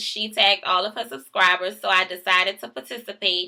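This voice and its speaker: A woman with a strong New Orleans accent, animated in tone, bright and sharp. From New Orleans, Louisiana. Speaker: vlogger. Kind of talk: casual vlog, reading word list.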